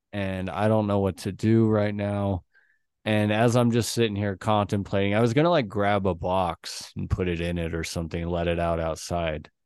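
A man speaks in an ordinary speaking voice with a fairly low pitch. His pace is moderate and his pitch varies normally. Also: quiet background. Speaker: podcast co-host. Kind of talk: casual chat.

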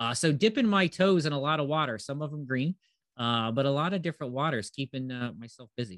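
A man with a Midwestern American accent talks at a very fast pace, his fairly high voice full of lively intonation. The sound is dry and close, with no echo. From US Midwest (Northeast Ohio). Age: 40s. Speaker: cannabis business educator. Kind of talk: casual interview. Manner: hesitant with many filler words.

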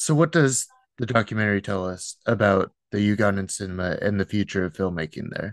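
In a plain, everyday voice, a man talks at a fairly quick pace with a fairly low pitch and ordinary pitch variation, the sound dry and close with no echo against a quiet background. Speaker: interviewer. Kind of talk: interview.

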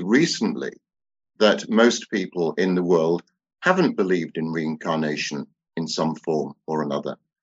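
A man talks at a moderate pace with a British accent. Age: 60s. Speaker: author and theosophist. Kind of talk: interview.

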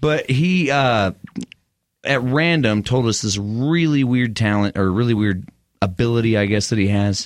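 The recording is very clean with a silent background, and the speaker, in a West Texas accent, keeps a very even loudness, a moderate pace and ordinary pitch variation. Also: man, medium pitch for a man. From West Texas (Midland). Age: 30s. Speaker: podcast host. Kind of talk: scripted show intro; casual interview.

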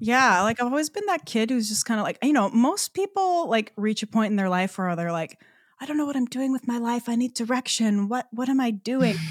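A woman's animated, fairly high voice with lively intonation and hardly any pauses, in a very clean recording with a silent background and a dry, close sound with no echo. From Newfoundland, Canada. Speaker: singer-songwriter and worship leader. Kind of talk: casual chat.

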